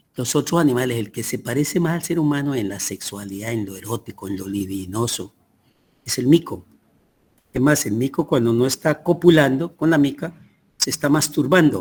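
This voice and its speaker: A man with a somewhat breathy voice speaks at a fairly quick pace with lively intonation. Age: 80s+. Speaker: teacher. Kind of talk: lecture.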